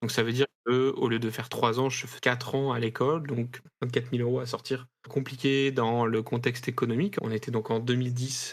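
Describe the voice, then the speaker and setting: Monotone, flat intonation runs through this speech. The man's pitch is medium. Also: fairly quick pace. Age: 30s. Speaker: IT support worker and video game writer. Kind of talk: interview testimony. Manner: hesitant, many fillers.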